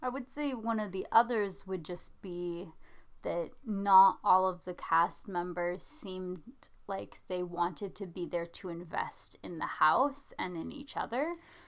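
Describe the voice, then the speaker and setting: A woman's medium-pitched voice, a plain, everyday voice, with ordinary pitch variation and a fairly slow pace. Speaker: podcast host. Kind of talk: casual chat. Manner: dry, teasing.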